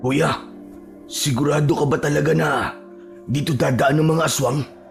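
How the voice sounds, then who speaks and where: Clear music plays in the background as a man speaks in a put-on character voice. His raspy delivery has a fairly high pitch and a moderate pace. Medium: read story. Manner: polite, deferential.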